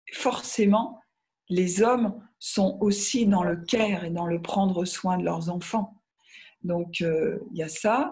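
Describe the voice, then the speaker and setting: At a very slow pace, a woman with medium pitch and ordinary pitch variation sounds somewhat breathy. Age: 60s. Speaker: author on feminine spirituality. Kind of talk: interview conversation. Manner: hesitant, many fillers.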